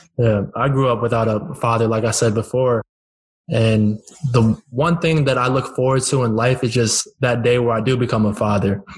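In an American accent, a man with an unremarkable speaking voice talks at medium pitch and a moderate pace, with fairly even intonation and very even loudness. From Northern Virginia, US. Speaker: podcast host. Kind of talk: casual interview.

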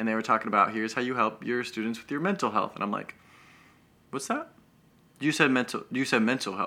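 Bright, sharp tone from a man with an American accent, ordinary pitch variation, on a very clean recording with a silent background. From Denver, Colorado, US. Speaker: mental health coach. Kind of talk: casual chat.

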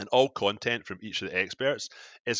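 In a Glasgow accent, a man talks at a moderate pace with ordinary pitch variation and a bright, sharp tone. The sound is dry and close with no echo, over a quiet background. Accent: Scottish (Glasgow). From Scotland, Glasgow area. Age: 30s. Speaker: wellness app founder. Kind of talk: podcast interview. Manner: halting, many repetitions and fillers.

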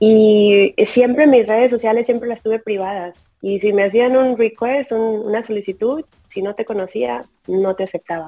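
A woman's fairly high, dark and mellow voice at a fairly slow pace, with fairly even intonation and a dry, close, echo-free sound. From Tamaulipas border, Mexico. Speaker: football fan and social media figure. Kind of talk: interview.

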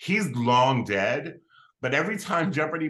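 Fairly slow but animated, a man speaks in a fairly high, bright, sharp voice with lively intonation and vocal fry. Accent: American. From Philadelphia, Pennsylvania. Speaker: comedian and writer. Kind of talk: casual chat.

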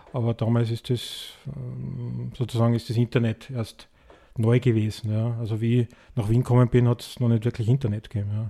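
This man's somewhat breathy voice has a dark, mellow tone, a medium pitch and monotone, flat intonation. He moves at a fairly quick pace broken by long, frequent pauses, in a dry, close sound with no echo. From Tyrol, Austria. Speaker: birdwatcher and conservationist. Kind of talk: interview.

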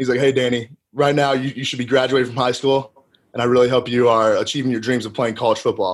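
A man talks at a very fast pace. His intonation stays flat and monotone. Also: medium pitch for a man. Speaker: college football player, NFL draft prospect. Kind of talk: interview conversation. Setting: video call.

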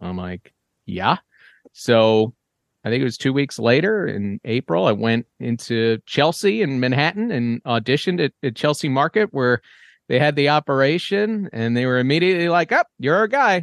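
Recorded with a dry, close sound and no echo, a man with an American accent speaks in a fairly high pitch that swings very widely. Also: moderate pace, quiet background. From New York. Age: 30s. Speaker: sportscaster. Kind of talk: casual interview chat.

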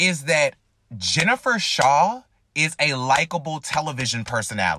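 A man speaks in a bright, sharp tone with vocal fry, sounding animated as his pitch swings very widely. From US South, North Carolina. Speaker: podcast host. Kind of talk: casual chat.

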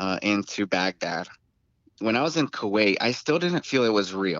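An ordinary speaking voice from a man, medium in pitch, with lively intonation at a moderate pace. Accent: American. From Tucson, Arizona. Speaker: co-host, combat veteran. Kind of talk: casual chat.

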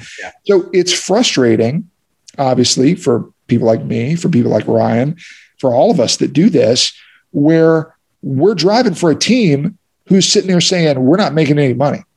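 This man has an unremarkable speaking voice, pitched fairly high. He talks at a moderate pace with lively intonation. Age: 30s. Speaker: racing driver and podcast co-host. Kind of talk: casual chat.

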